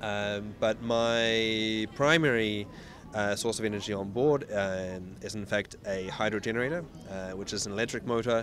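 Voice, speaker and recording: Amid noticeable background noise, a man with a New Zealand accent speaks at a moderate pace with ordinary pitch variation. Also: fairly low pitch for a man. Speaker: ocean racing sailor. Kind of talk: interview. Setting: outdoors. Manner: halting.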